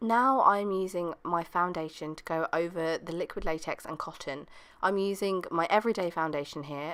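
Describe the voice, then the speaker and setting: A woman with a British accent speaks at a moderate pace and fairly low pitch with ordinary pitch variation. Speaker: beauty vlogger. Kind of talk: tutorial.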